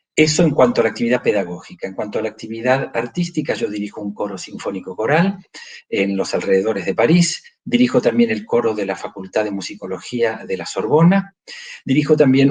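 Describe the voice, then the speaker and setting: A man speaks in a normal speaking voice at medium pitch and a fairly quick pace, with lively intonation and big swings in loudness. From Argentina, Buenos Aires. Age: 60s. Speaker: choir conductor and conducting professor. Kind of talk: interview.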